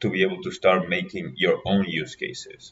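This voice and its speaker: At a moderate pace, a man speaks with an Argentine accent. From Argentina. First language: Spanish. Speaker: graduate researcher and lecturer. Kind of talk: workshop lecture.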